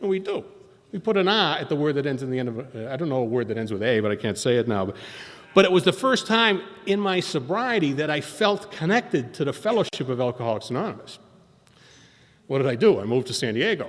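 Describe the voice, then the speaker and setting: A man talks at a very fast pace in an animated tone, his pitch swinging very widely. Noticeable background noise runs underneath. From Boston. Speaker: recovery speaker at AA meeting. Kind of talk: recovery talk, storytelling.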